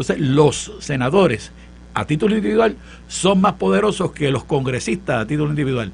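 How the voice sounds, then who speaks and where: Very wide pitch swings mark this man's speech. He talks at a fairly quick pace. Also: fairly high pitch for a man. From Puerto Rico, Santurce; Puerto Rico. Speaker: professor and political panelist; professor, panelist. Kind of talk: political panel discussion. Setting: studio. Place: studio. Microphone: studio mic.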